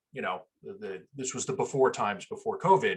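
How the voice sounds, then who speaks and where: A somewhat breathy male voice. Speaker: Linux systems administrator, conference presenter. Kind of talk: technical presentation. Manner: fast.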